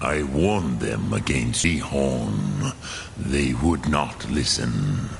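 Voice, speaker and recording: A man's put-on character voice at a very slow pace, under loud background noise. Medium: video game. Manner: slow, measured, solemn.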